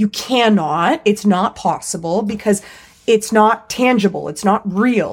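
This woman has an ordinary speaking voice, medium in pitch with ordinary pitch variation. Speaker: podcast co-host. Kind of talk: casual banter. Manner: joking, sarcastic.

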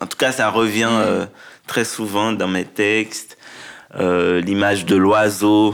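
A very slow pace and monotone, flat intonation. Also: man, fairly low pitch for a man. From Haiti (rural south-east, then Port-au-Prince). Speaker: poet and writer. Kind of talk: interview. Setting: recorded in a theatre. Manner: halting.

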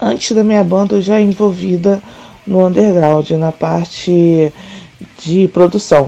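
A woman speaks at a very slow pace in a fairly low pitch, with ordinary pitch variation. Her loudness stays very even throughout. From Brazil, Rio de Janeiro. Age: 30s. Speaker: tattoo artist and punk musician. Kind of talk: interview.

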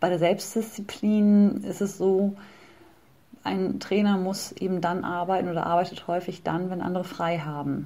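Her dark, mellow voice at medium pitch stays monotone and flat as the woman speaks at a moderate pace amid audible room echo. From northern Germany (Bremen). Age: 30s. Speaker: personal trainer. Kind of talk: interview.

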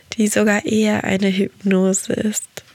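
Against noticeable background noise, the voice moves at a fairly slow pace with monotone, flat intonation in a dry, close sound with no echo. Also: woman. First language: Portuguese (speaking German). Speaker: podcast host and meditation guide. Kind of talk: podcast monologue. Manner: soft-spoken.

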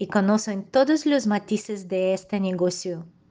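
A woman speaks with a Russian accent. Her pitch varies in an ordinary way. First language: Russian (speaking Spanish). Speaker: dog groomer. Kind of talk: interview answers, partly read. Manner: careful, non-native pace.

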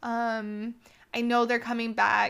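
An animated, bright, sharp voice with an American accent comes through in a very clean recording with a silent background. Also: woman. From Texas, Houston. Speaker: podcast host, book reviewer. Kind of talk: casual solo monologue.

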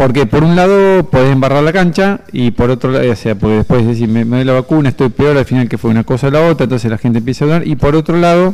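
At a very fast pace with hardly any pauses, a man talks at a medium pitch with lively intonation and very even loudness. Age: 40s. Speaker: medical doctor, health columnist. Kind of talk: radio interview, health column.

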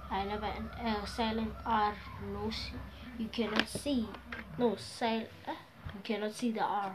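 At a fairly slow pace, a woman with a fairly high pitch talks in a monotone, flat intonation with long, frequent pauses. Noticeable background noise and audible room echo come through. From South Africa. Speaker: beginner podcaster. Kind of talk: casual monologue.

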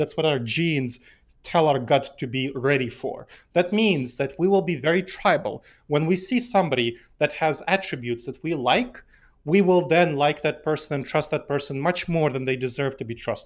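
A man with an American accent speaks at a moderate pace. His voice is fairly high, with lively intonation. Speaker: author and behavioral scientist. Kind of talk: interview conversation.

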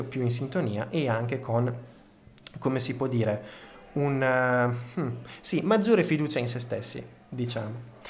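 Amid audible room echo, a man with a strong Emilian accent speaks fairly slowly at medium pitch, somewhat breathy, with ordinary pitch variation. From Reggio Emilia, northern Italy. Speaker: podcast host. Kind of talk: storytelling podcast monologue.

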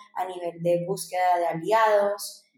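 With a dark, mellow tone, a woman speaks at a moderate pace in a fairly low pitch with fairly even intonation. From Dominican Republic (born in Bogotá, Colombia). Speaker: startup founder. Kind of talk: interview.

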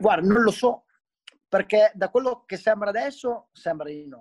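A high-pitched man's voice at a fairly quick pace. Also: dry, close sound with no echo. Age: 30s. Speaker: professional BMX freestyle rider. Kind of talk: casual interview chat.

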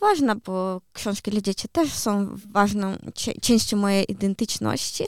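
Speaking at a fairly slow pace with hardly any pauses, a woman uses a fairly high pitch and ordinary pitch variation on a very clean recording with a silent background. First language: Ukrainian (speaking Polish). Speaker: poet and children's author. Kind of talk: interview. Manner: hesitant, many fillers.

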